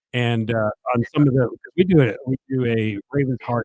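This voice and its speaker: A man with an American accent speaks at a medium pitch with fairly even intonation, in a dry, close sound with no echo. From Connecticut, New Milford. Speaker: podcast host. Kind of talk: casual interview chat.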